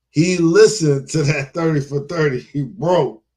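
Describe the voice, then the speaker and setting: With ordinary pitch variation, the voice has a dark, mellow, somewhat breathy tone and a fairly slow pace. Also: man. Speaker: live stream host. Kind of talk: casual live stream talk. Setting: live stream. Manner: stuttering.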